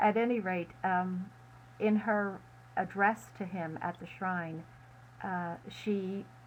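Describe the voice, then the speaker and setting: A woman at a medium pitch, very slow, broken by long, frequent pauses, with ordinary pitch variation. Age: 70s. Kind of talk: interview. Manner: halting.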